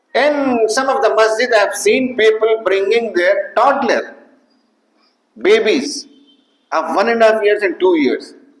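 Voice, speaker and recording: With long, frequent pauses and a fairly slow pace, a high-pitched man speaks amid audible room echo. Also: ordinary pitch variation. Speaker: Friday preacher. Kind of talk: sermon. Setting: mosque. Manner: formal.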